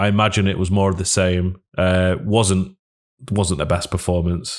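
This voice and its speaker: A man with a very deep, low pitch speaks at a moderate pace, with fairly even intonation and very even loudness. The recording is very clean, with a silent background. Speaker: football podcast co-host. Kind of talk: casual chat. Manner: monotone.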